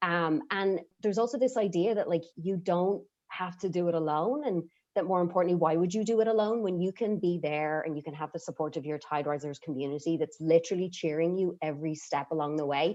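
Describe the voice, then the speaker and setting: Fairly quick speech in an Irish accent, with ordinary pitch variation. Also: woman, fairly low pitch for a woman. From Ireland. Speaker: program member sharing testimony. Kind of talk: testimony.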